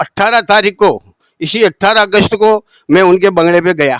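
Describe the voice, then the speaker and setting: The sound is dry and close, with no echo. A man speaks with fairly even intonation. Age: 70s. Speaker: aggrieved shopkeeper and party worker. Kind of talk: interview testimony.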